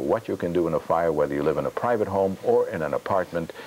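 With lively intonation and a slightly mellow tone, a man talks fast at a low pitch over faint background noise.

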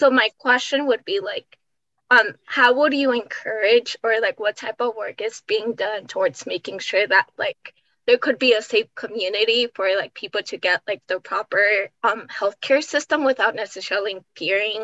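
Against a quiet background, a woman with an American accent talks at a moderate pace, her fairly high voice bright and sharp with ordinary pitch variation. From US, Mexican American. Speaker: nonprofit staff member. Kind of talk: casual chat. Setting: video call. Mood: excited, proud. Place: home room. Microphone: video call.

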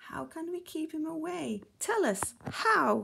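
A woman puts on a character voice, high and fairly bright, with big pitch swings and vocal fry. She speaks at a slow pace.

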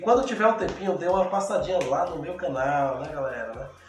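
With audible room echo and faint music in the background, a high-pitched man talks at a moderate pace with ordinary pitch variation. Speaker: youtuber reading fan comments. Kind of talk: casual vlog chat. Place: home room. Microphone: camera far.

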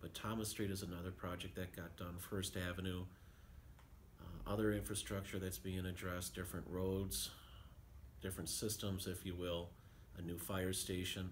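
A man with a very deep, low voice, somewhat breathy, at a moderate pace with fairly even intonation and long, frequent pauses over light background noise. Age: 50s. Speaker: city mayor. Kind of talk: radio interview. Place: office. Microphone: phone near.

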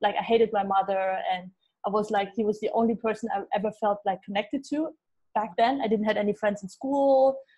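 A woman speaks fairly quickly in a dark, mellow, somewhat breathy tone. Her pitch is fairly high with ordinary variation, and the background is quiet. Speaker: gut health expert. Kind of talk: casual interview. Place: home room. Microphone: earbuds.

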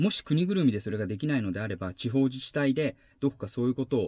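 A man at a very fast pace with lively intonation, a dry sound with no echo, and a quiet background. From Aichi, Japan. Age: 40s. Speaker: YouTuber and former actor; travel vlogger. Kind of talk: vlog monologue; casual vlog monologue on social issues. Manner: hesitant with many fillers. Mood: earnest, thoughtful. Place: car.

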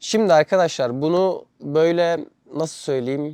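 The man's dark, mellow tone comes through a dry, close sound with no echo. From Turkey. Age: 20s. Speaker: vlogger. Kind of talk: casual vlog monologue.

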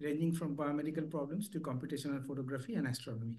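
Against a quiet background, a man with a fairly high pitch and a dark, mellow tone talks very fast with ordinary pitch variation. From India. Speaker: session chair and statistician. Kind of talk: formal introduction. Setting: stage with audience. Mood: polite, formal. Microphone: video call.

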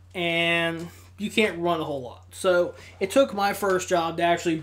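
A man with a high pitch speaks at a fairly slow pace, his tone bright and sharp. His pitch varies in an ordinary way, with light background noise. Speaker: gaming youtuber; gaming channel host. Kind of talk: casual vlog monologue. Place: home room.

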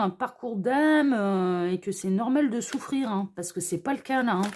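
Over a quiet background, a woman with a fairly high pitch speaks at a fairly slow pace with lively intonation. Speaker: tarot card reader. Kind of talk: tarot reading video. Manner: gentle, kind intonation.

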